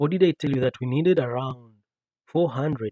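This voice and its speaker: Ordinary pitch variation marks this man's speech. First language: not English. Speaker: writing livestreamer. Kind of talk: live writing tutorial. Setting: livestream. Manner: animated, repetitive.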